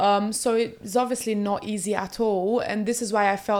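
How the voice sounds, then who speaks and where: Her pitch sits in the medium range for a woman. She speaks with a Portuguese accent in a monotone, flat delivery. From Brazil. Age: 20s. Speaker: reality TV contestant. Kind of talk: interview.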